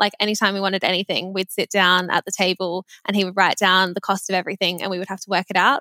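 At a very fast pace and medium pitch, a woman with an Australian accent speaks in a bright, sharp tone with monotone, flat intonation, on a very clean, dry, close recording with a silent background and no echo. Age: 20s. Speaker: personal finance social media creator. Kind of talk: casual chat.

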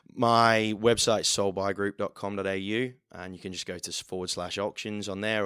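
On a very clean recording with a silent background and a dry, close sound with no echo, a man with an English Midlands accent speaks fairly quickly at a fairly low pitch with hardly any pauses. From central England. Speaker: auctioneer. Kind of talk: casual interview chat. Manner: animated, energetic.

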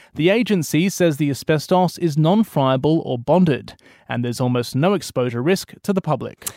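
With an Australian accent and a fairly high pitch, a man talks at a moderate pace with ordinary pitch variation, the sound dry and close with no echo on a very clean recording with a silent background. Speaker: political reporter. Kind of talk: news report. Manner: measured, formal, steady.

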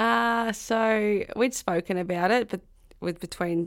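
A woman speaks with a rural Australian accent. The recording is very clean, with a silent background. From rural south-west New South Wales, Australia. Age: 30s. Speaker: professional footballer and farmer. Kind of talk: interview.

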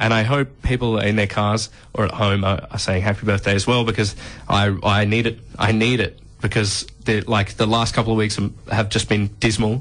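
A man in an Australian accent, fairly low-pitched, at a moderate pace, with monotone, flat intonation and very even loudness. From Adelaide, South Australia. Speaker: radio host. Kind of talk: casual radio banter.

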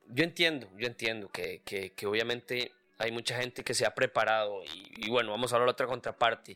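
A man speaks in a Costa Rican accent at a medium pitch. His pace is moderate and his intonation fairly even. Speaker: podcast co-host. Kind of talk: casual chat.

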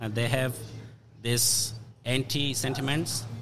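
A man's medium-pitched voice amid noticeable background noise. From Afghanistan, Hazara. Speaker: refugee advocate. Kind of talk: interview. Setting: restaurant with background noise.

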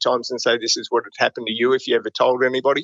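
With an Australian accent, the speaker races along at a very fast pace. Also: man. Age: 50s. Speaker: private investigator. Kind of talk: interview. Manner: casual.

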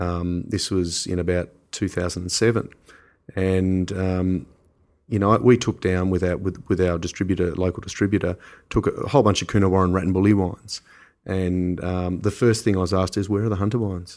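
The speaker has an Australian accent and talks at a fairly quick pace. The intonation stays fairly even. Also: man, very deep, low pitch for a man. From Australia (Canberra). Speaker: winemaker. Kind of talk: casual interview. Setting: in person.

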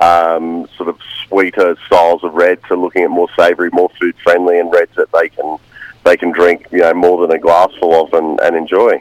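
Dry and close, with no echo, the recording captures a man. He talks at a fairly quick pace. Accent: Australian. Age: 40s. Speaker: winemaker. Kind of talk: radio interview. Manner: hesitant, many fillers.

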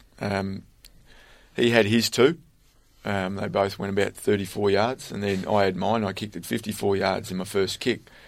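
On a very clean recording with a silent background, a man with an Australian accent speaks at a moderate pace, his fairly low voice keeping fairly even intonation. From Australia, country Victoria near Bendigo. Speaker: former pro footballer and kicking coach. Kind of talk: interview. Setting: studio.

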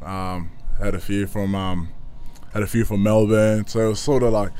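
A man speaks at a moderate pace in a medium pitch, his dark, mellow tone carrying fairly even intonation through audible room echo. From Kenya refugee camp, then Brisbane. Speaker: professional footballer. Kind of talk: casual chat. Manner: halting.

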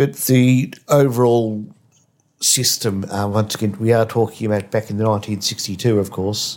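At a moderate pace, a man with a plain, everyday voice and fairly even intonation speaks on a very clean recording with a silent background. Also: fairly low pitch for a man. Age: 50s. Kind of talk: casual interview with family.

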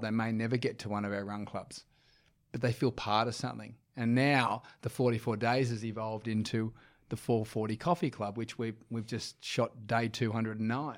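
Speaking at a fairly quick pace with an Australian accent, a man holds a medium pitch in a flat monotone. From Sydney, eastern suburbs. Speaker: run club founder. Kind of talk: casual interview.

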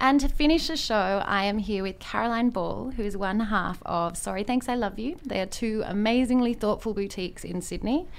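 An unremarkable speaking voice runs on with hardly any pauses and ordinary pitch variation. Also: woman, fairly high pitch for a woman, moderate pace. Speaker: radio host. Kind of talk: radio show hosting.

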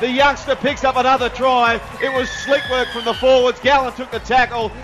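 A man speaks with an Australian accent at an extremely high pitch. Music plays in the background. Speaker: rugby league commentator. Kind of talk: live play-by-play rugby league highlights commentary. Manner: rapid-fire, clipped name-by-name play calling; rising excitement with exclamations at tries.

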